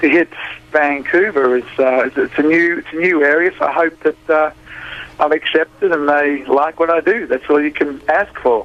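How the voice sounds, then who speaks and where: Speaking with a strong Australian accent, a man with a fairly high voice keeps a moderate pace and fairly even intonation over noticeable background noise. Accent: thick Australian. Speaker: blues musician. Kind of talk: radio interview. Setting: phone call. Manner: halting, repeats words.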